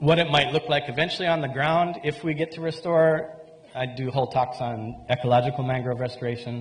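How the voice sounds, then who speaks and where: With noticeable noise behind him, a man talks fairly quickly in a fairly high pitch. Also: ordinary pitch variation. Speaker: conference speaker, mangrove restoration researcher. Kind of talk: conference presentation.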